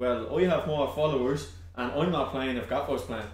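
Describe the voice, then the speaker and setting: With a Dublin accent, a man talks fairly quickly at a fairly high pitch with ordinary pitch variation, against noticeable background noise. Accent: Dublin Irish. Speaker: online content creator. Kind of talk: casual chat.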